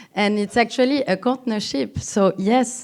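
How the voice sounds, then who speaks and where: A fairly slow voice in a strong French accent with ordinary pitch variation. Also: woman. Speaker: cultural institution representative. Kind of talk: conference talk. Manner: halting, many fillers.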